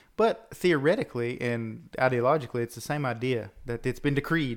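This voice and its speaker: Using an ordinary speaking voice at a medium pitch, a man talks with hardly any pauses. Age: 30s. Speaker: podcast host. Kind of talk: casual theological discussion.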